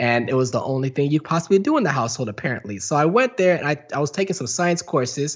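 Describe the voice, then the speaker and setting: A man talks at a very fast pace with hardly any pauses, his animated tone and lively intonation set against noticeable background noise. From Texas, Garland near Dallas. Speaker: filmmaker. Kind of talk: interview.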